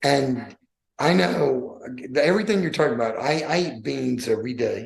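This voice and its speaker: Lively in intonation and marked by vocal fry, a man's voice comes through with audible room echo. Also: medium pitch for a man, moderate pace. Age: 60s. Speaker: podcast host, weight loss challenge founder. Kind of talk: casual chat.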